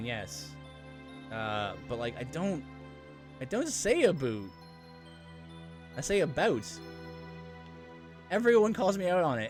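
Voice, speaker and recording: Music sounds behind a man in a Canadian accent who talks at a fairly slow pace and a fairly high pitch, with very wide pitch swings. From Canada.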